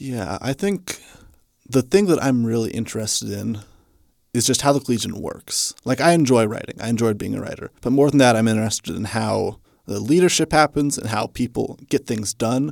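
A man with an American accent has an unremarkable speaking voice at medium pitch, moving at a fairly quick pace with ordinary pitch variation. The sound is dry and close with no echo, on a very clean recording with a silent background. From Kansas, Hutchinson. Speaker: student journalist. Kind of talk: interview.

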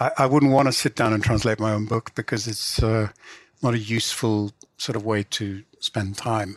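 A man with an English accent and a medium pitch talks at a moderate pace, with a dry, close sound and no echo. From England. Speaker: literary translator and novelist. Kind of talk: interview. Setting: remote call.

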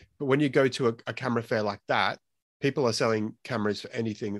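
This man's medium-pitched voice races along very quickly. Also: dry, close sound with no echo, quiet background. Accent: Australian. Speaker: film photography podcast host. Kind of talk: casual chat. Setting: live stream.

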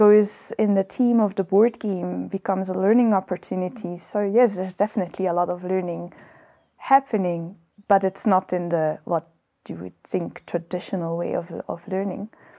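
A woman at a moderate pace, her tone dark and mellow. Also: dry, close sound with no echo. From Belgium. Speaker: home educating mother. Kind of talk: testimony in casual chat. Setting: outdoors on a veranda.

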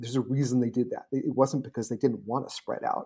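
This man talks at a very fast pace in an American accent. His tone is dark, mellow, and somewhat breathy. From US Northeast, suburban New Jersey. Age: 50s. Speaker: blogger and urban commentator. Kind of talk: casual interview.

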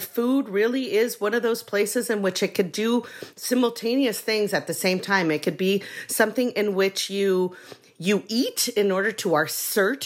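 Delivered at a moderate pace with ordinary pitch variation, the speech has noticeable background noise behind it. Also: woman. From Mexico. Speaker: anthropology professor. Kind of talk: interview.

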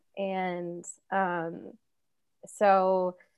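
This is a woman with an American accent. Her pitch sits in the medium range. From US Midwest, Kansas. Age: 30s. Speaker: guest, former podcast producer. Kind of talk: casual chat. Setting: remote call from a friend's home.

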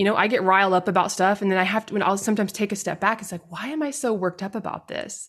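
A woman with an American accent and vocal fry. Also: quiet background. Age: 40s. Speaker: podcast host. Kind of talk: solo commentary. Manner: animated.

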